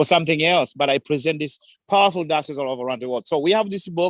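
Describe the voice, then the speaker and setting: A man with a Tanzanian accent speaks in an animated tone. The recording is very clean with a silent background and a dry, close sound with no echo. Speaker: community advocate. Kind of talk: public forum remarks.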